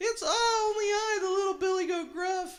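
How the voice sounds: An extremely high-pitched, put-on character voice speaks at a moderate pace.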